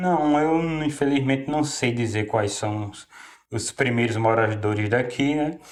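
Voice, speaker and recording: Here a man speaks at a fairly slow pace and medium pitch. His pitch varies in an ordinary way, but his loudness swings widely. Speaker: local resident. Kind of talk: interview. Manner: halting.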